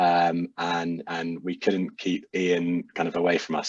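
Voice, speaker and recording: This man has a very deep, low voice and a monotone, flat intonation. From UK. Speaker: social enterprise founder. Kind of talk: casual chat.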